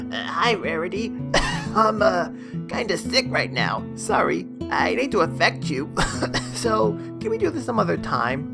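Over loud background music, a nasal, put-on character voice speaks at a fairly slow pace. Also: man.

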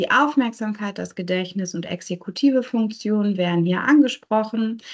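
Against a quiet background, a woman talks at a moderate pace. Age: 30s. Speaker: neuropsychologist; presenter. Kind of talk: lecture. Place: home room. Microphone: video call.

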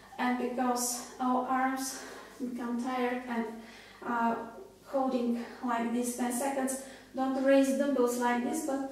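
In strong room echo, a woman with a high pitch speaks at a very slow pace. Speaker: fitness instructor. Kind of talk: tutorial. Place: home room. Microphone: camera far.

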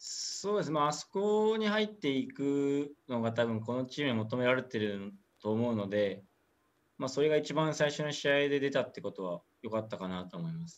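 Speech moves at a moderate pace. Its pitch swings very widely. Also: man. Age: 20s. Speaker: professional footballer. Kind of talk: interview; interview answer. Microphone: video call.

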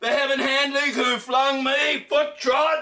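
A man projects a raised voice at an extremely high pitch, with a bright, sharp tone. He talks at a very slow pace against a quiet background. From Australia. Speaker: poetry reciter. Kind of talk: poetry reading. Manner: loud, forceful. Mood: anguished, intense. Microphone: camera far.

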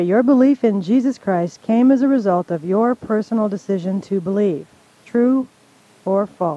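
The voice moves at a moderate pace, and the sound is dry with no echo. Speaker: radio co-host and Bible teacher. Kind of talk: playful quiz reading. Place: studio.

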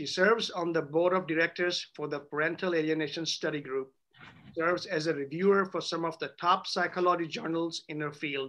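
A man speaks at a fairly quick pace in a high voice with a bright, sharp tone and fairly even intonation. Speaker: attorney moderating a Q&A. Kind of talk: introduction of speakers, read biography. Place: office. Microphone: video call.

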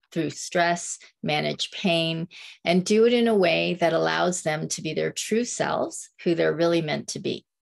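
Over a quiet background, a woman is speaking. Her pace is fairly slow. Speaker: tai chi and qigong instructor. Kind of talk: interview host. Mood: warm, smiling. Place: home room. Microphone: phone near.

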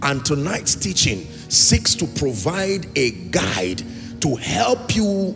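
A very slow pace over clear music in the background. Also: man. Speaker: preacher. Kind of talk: sermon. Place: church. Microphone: handheld.

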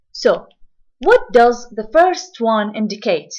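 A woman speaks at a very slow pace with an Arabic accent. The background is quiet. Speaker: English teacher. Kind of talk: lecture.

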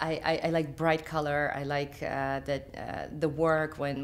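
The speaker talks at a very slow pace with a Ukrainian accent. The intonation stays monotone and flat. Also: woman. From Ukraine. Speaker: artist. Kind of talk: interview answer. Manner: hesitant, many fillers. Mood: thoughtful, calm. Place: home room.

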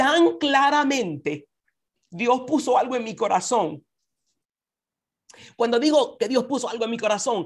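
High-pitched and lively in intonation, a woman speaks. The background is quiet. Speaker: conference speaker. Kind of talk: devotional talk. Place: home room. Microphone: video call.

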